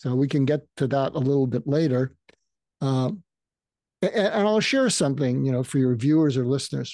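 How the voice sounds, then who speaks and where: A man with a Boston accent speaks fairly quickly in a dark, mellow tone. His loudness is very even, and the background is quiet. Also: fairly high pitch for a man, ordinary pitch variation. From Massachusetts, outside Boston. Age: 70s. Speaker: psychiatrist. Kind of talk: interview.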